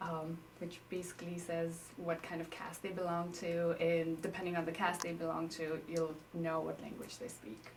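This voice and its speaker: Audible room echo and noticeable background noise surround a woman with a fairly low pitch. Her intonation is monotone and flat, at a moderate pace. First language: Newari. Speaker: interviewee, native speaker. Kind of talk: interview. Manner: casual, hesitant with fillers.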